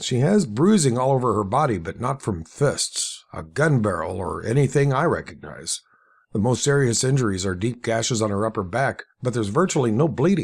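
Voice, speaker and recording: Using a raspy, put-on character voice, a man speaks at a fairly quick pace with medium pitch and very wide pitch swings. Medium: read story. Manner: measured, professional.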